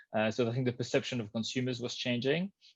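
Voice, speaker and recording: Over a quiet background, a man with a French accent talks at a very fast pace in a medium pitch. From France. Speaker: customer experience professional. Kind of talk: interview. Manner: hesitant, many fillers.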